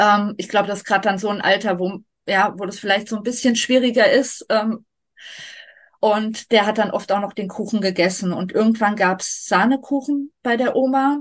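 This woman's voice is somewhat breathy and fairly high in pitch. She speaks at a moderate pace with fairly even intonation. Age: 40s. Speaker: vegan nutrition advisor and long-term traveller. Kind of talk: casual interview.

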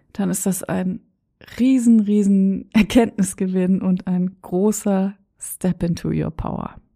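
A somewhat breathy woman's voice of medium pitch, dark and mellow in tone, with fairly even intonation, on a very clean recording with a silent background. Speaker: podcast host and coach. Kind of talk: motivational monologue.

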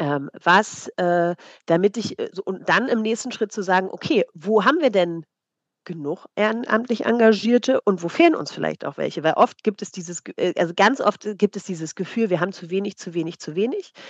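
A woman's normal speaking voice at medium pitch, moderate pace and lively intonation, with big swings in loudness and a dry, close sound with no echo. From East Germany. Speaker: psychologist and volunteering trainer. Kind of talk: interview. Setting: video call.

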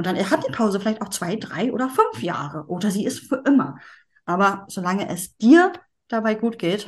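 Here a woman speaks at a moderate pace with lively intonation. Her voice is somewhat breathy. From northern Germany, Schleswig-Holstein. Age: 40s. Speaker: yoga teacher. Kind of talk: interview.

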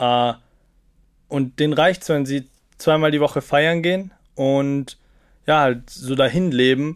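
The delivery has fairly even intonation broken by long, frequent pauses. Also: man. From Austria, Salzburg small town. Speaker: TikToker and student. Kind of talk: podcast interview.

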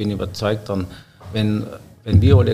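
A man with a normal speaking voice, fairly low in pitch, at a fairly quick pace. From Austria, Upper Styria (Obdach). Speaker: head chef. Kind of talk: casual interview. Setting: hotel wine room.

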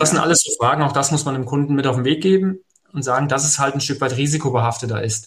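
A man speaks at a very fast pace. His fairly high voice is somewhat breathy. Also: ordinary pitch variation. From Hesse, Germany (Fulda). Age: 40s. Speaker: mortgage finance advisor. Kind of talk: podcast interview.

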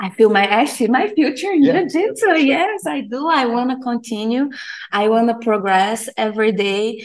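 A woman with a Portuguese accent speaks at a fairly high pitch and a moderate pace, her intonation lively. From Brazil. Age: 30s. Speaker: jiu-jitsu student. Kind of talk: interview.

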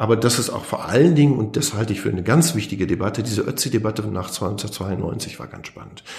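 Through audible room echo and noticeable background noise, a man talks at a fairly quick pace in a fairly low pitch. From Germany, Lower Rhine. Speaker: historian. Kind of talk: interview.

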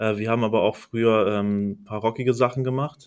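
A man speaks at a fairly quick pace with a medium pitch and fairly even intonation. The recording is very clean, with a silent background. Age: 30s. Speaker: video editor. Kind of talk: casual chat.

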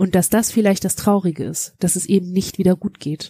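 A woman with a dark, mellow, somewhat breathy tone speaks at a medium pitch and a moderate pace in a monotone, flat intonation, the sound dry and close with no echo. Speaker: podcast co-host. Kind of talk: casual chat.

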